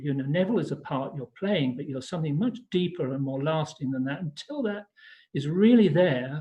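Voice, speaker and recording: A man's fairly high voice moves at a moderate pace, its pitch varying in an ordinary way. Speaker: spiritual practitioner. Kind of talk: online talk. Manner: halting.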